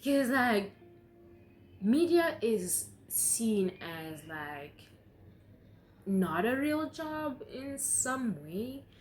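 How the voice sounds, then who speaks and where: A speaker with a non-native accent talks at a very slow pace, with long, frequent pauses. Very wide pitch swings and big swings in loudness come through audible room echo. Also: woman, fairly high pitch for a woman. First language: not English. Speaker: YouTuber. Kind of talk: casual chat. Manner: halting.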